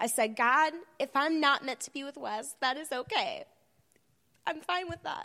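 Bright and sharp, a woman's high, raised voice projects with lively intonation. She keeps a moderate pace but leaves long, frequent pauses. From Bloomington, Indiana.

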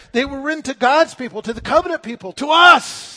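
A man's raised, projected voice, extremely high in pitch, with ordinary pitch variation. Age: 60s. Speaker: pastor. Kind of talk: sermon. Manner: halting.

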